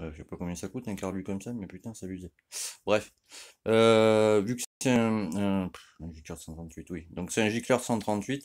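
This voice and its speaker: In a very clean recording with a silent background, a man speaks at a moderate pace, his fairly low pitch showing ordinary variation and big swings in loudness. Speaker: moped mechanic youtuber. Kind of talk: tutorial. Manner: casual, filler-heavy.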